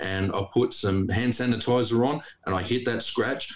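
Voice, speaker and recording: A man's voice, with ordinary pitch variation and a moderate pace, comes through noticeable background noise. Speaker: farmer. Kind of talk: casual banter.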